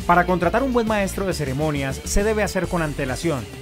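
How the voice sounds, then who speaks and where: Clear music plays behind a voice that moves at a fairly quick pace with lively intonation. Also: man. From Colombia. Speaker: master of ceremonies; journalist and TV presenter. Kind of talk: promotional talk to camera.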